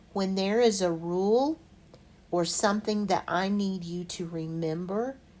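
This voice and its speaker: At a fairly slow pace, a woman talks with a medium pitch and ordinary pitch variation. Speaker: math teacher. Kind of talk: tutorial. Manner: clear, measured.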